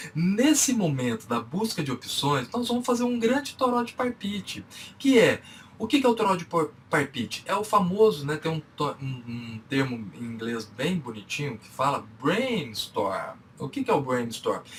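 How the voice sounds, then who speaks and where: Over noticeable background noise, a man with a Minas Gerais accent speaks at a fairly slow pace in a high voice with very wide pitch swings. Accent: Minas Gerais (mineiro). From Brazil, Minas Gerais. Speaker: business speaker and consultant. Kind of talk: lecture. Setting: online conference talk.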